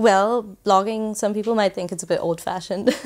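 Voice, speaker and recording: On a very clean recording with a silent background, a woman with a German accent speaks at a moderate pace with fairly even intonation. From Germany. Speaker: travel blogger. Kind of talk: podcast interview.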